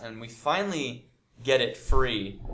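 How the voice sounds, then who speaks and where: With an American accent and a bright, sharp tone, a man speaks at a fairly slow pace. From United States. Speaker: English teacher. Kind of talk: casual lesson monologue. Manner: animated.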